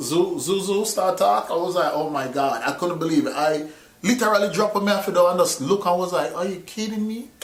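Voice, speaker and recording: A man's high voice with a Jamaican accent at a fairly quick pace, amid noticeable background noise and audible room echo. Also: lively intonation. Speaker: movie reviewer. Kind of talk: casual chat. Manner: code-switching between patois and English.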